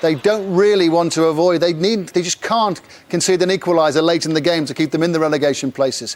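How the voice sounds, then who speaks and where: Very fast speech from a man, pitched high, its pitch varying in an ordinary way. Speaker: sports presenter. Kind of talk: live TV sports results presenting.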